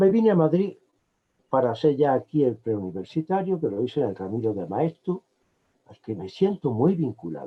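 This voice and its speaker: At a moderate pace, a man speaks in a medium pitch. His pitch swings very widely and his loudness swings a lot. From Andalusia, Córdoba province (Benamejí). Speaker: emeritus law professor. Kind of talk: interview. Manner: hesitant, with fillers.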